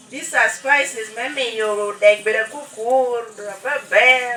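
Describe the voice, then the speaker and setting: Over noticeable background noise, someone speaks at a very slow pace with a Ugandan accent and ordinary pitch variation. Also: woman. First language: Lango. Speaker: cooking demonstrator. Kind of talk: cooking demonstration.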